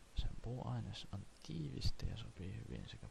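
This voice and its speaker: This man talks at a very slow pace. His pitch swings very widely. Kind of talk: encyclopedia reading. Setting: cheap home microphone. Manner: soft-spoken.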